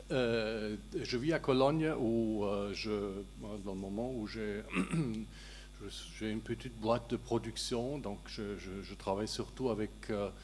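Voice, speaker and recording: A man speaks with a German accent at a very slow pace. Long, frequent pauses break up his speech. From Germany. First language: German (speaking French). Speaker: journalist and producer. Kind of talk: panel discussion. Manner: halting, repeats words.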